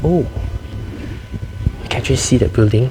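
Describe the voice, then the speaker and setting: Noise is noticeable behind the speaker. He is a man. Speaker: university student vlogger. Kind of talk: vlog walking tour. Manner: casual; whispering.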